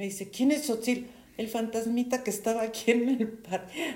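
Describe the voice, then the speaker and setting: A woman speaks with a Mexican accent. Her pace is fairly slow. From Mexico. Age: 70s. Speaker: storyteller sharing life anecdotes. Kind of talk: interview. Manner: halting.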